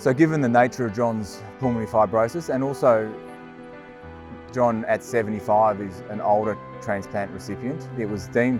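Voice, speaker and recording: Music plays in the background. The speaker goes at a moderate pace with ordinary pitch variation. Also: man, medium pitch for a man. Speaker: lung specialist doctor. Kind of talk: interview answer.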